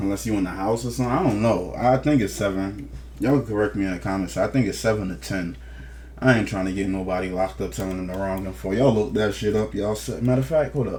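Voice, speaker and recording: A man with a fairly low pitch, very wide pitch swings and a very fast pace, with audible room echo. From New Jersey, East Orange. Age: 30s. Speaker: news commentator. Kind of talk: casual commentary reading court documents.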